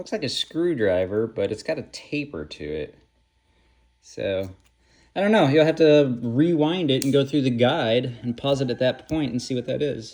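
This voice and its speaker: The speech moves at a moderate pace, with a quiet background. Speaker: knife reviewer. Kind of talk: product review. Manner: loud; casual, halting with fillers.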